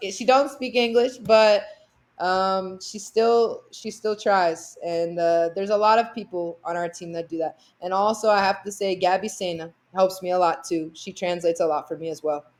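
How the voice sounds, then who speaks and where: A woman with an American accent and a plain, everyday voice talks at a medium pitch and moderate pace, with ordinary pitch variation and big swings in loudness, over a quiet background. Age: young. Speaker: basketball player. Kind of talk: podcast interview.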